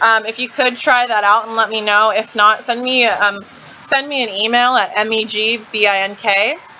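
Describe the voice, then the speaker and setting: Noticeable background noise surrounds a woman speaking with fairly even intonation. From Kansas. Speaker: live streamer. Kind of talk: live stream chat. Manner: fast; casual, chatty.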